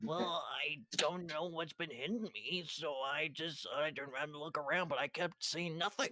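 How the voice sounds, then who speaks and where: A man's put-on character voice, fairly high-pitched, at a moderate pace with ordinary pitch variation and hardly any pauses. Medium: actual play. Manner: exasperated, bickering.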